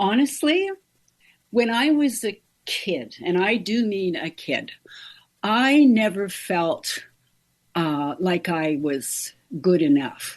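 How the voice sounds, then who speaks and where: Over a quiet background, a woman at medium pitch talks at a very slow pace, her pitch swinging very widely, with long, frequent pauses. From northern Ontario, Canada. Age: 70s. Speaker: makeup artist and hair stylist. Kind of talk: interview conversation. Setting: podcast interview.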